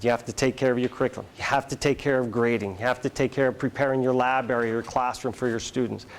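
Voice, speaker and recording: A man with an American accent speaks at a medium pitch. His intonation stays fairly even. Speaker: school administrator giving a presentation. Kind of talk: presentation to educators. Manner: fast; casual, filler-heavy.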